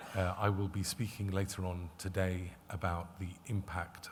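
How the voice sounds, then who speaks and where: A man's very deep, low voice comes through somewhat breathy and monotone, with flat intonation. Audible room echo surrounds it. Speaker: lawyer and conference speaker. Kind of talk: conference presentation. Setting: conference stage with audience. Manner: hesitant, many filler words.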